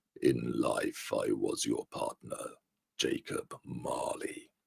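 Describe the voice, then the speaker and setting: A man uses a put-on character voice pitched extremely high. He speaks at a very slow pace. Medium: read story. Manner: solemn, mournful.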